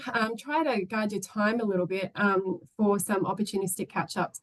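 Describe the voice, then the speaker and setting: Medium pitch from a woman speaking with an Australian accent. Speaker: former government delegate to a UN commission. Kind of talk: webinar presentation. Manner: fast; hesitant, many fillers.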